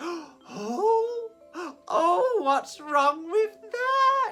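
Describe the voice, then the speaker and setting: Here a man does a put-on character voice at an extremely high pitch, with very wide pitch swings. His tone is bubbly and warm, and faint music plays in the background. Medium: read story. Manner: bubbly, warm.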